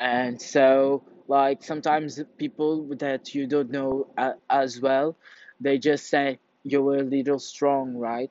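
Speaking very slowly in a Portuguese accent, a man keeps a medium pitch and a monotone, flat intonation. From Portugal. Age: young. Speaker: vlogger. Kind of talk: casual monologue. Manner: halting.

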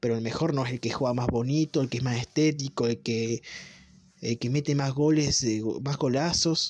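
A man speaks at a moderate pace in a normal speaking voice, fairly high in pitch with ordinary variation. The sound is dry and close, with no echo. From Argentina. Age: 20s. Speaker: football commentator. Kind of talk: monologue.

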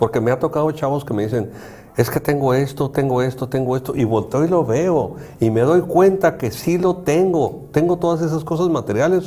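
With ordinary pitch variation and a fairly high pitch, a man speaks at a moderate speed as noticeable noise runs in the background. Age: 60s. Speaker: psychologist and show host. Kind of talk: casual chat.

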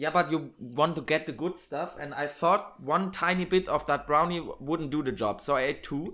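In a German accent, a man talks at a moderate pace with hardly any pauses, a fairly high pitch and ordinary pitch variation. His tone is bright and sharp, and the recording is very clean with a silent background. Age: 20s. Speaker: podcast host. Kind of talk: casual chat.

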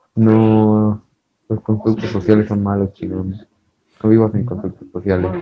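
Using monotone, flat intonation and a fairly low pitch, a man speaks at a fairly slow pace with long, frequent pauses. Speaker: podcast co-host, university student. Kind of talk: casual chat.

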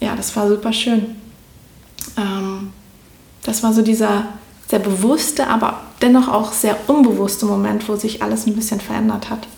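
The voice is monotone and flat, moving at a fairly slow pace with long, frequent pauses. Noticeable background noise and audible room echo are present. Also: woman, fairly high pitch for a woman. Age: 30s. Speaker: spiritual coach. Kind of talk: interview.

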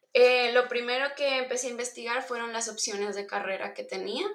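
Speaking at a moderate pace, a woman uses a plain, everyday voice with a fairly high pitch. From northern Mexico, Monterrey. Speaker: UX researcher. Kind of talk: interview.

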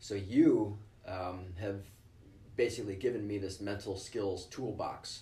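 The voice is somewhat breathy, with a dark, mellow tone and an American accent, delivered in a monotone, flat intonation. It moves at a fairly slow pace, and audible room echo surrounds it. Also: man, fairly low pitch for a man. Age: 50s. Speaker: ER doctor and ultramarathon runner. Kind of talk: interview.

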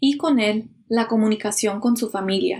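Fairly high in pitch, a woman talks in a normal speaking voice at a fairly slow pace with ordinary pitch variation. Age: 30s. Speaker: podcast host. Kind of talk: scripted narration.

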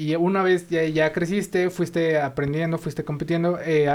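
Intonation here is fairly even. A dark, mellow tone carries the speech. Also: man. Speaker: podcast host. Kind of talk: interview.

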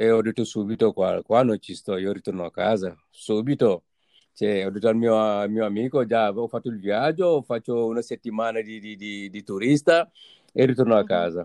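This man speaks at a moderate pace and medium pitch, with a dark, mellow tone, ordinary pitch variation and big swings in loudness, in a dry, close sound with no echo and a quiet background. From Senegal. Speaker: immigrant guest. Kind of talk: casual interview. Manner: halting.

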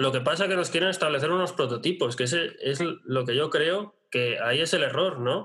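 This man talks at a moderate pace with ordinary pitch variation. Noticeable background noise runs behind him. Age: 30s. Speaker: online business strategy consultant. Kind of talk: interview.

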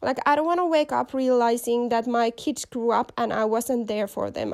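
A woman with a Finnish accent and a high pitch. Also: very clean recording, silent background. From Finland. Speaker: podcast host. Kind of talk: motivational monologue.

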